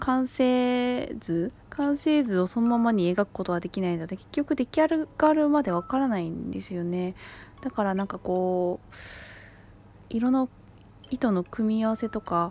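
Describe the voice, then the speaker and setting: A woman's fairly high, dark, mellow voice, with lively intonation at a fairly slow pace. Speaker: solo podcaster. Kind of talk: casual monologue. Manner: halting.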